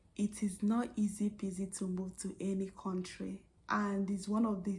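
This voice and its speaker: A flat, monotone delivery with a dark, mellow tone and a somewhat breathy quality. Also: woman. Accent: American. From Nigeria. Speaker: vlogger and registered nurse. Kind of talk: vlog monologue.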